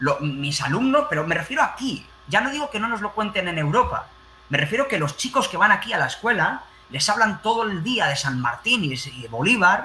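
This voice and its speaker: A man with a Spanish accent speaks at a moderate pace in an animated tone, his pitch swinging very widely, with noticeable background noise. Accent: Spanish (Spain). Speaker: teacher. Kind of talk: panel discussion.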